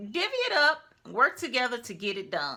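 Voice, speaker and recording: A woman speaks loud, her tone bright and sharp. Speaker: lifestyle YouTuber. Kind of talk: casual advice commentary.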